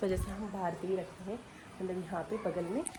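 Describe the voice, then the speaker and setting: A woman's somewhat breathy voice at medium pitch, with fairly even intonation and a moderate pace. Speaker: vlogger. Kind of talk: home tour vlog. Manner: casual, filler-heavy.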